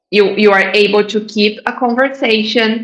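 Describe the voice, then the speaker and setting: A woman speaks with a Brazilian accent at a fairly high pitch. Her pace is very slow. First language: Portuguese. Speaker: English teacher. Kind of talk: live online class. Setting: live online event. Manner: deliberate, with fillers.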